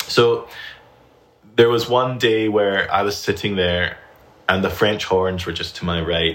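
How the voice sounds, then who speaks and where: A man with a Scottish accent speaks slowly, with fairly low pitch and fairly even intonation. He leaves long, frequent pauses. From Scotland. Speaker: flutist and teacher. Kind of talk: casual interview conversation.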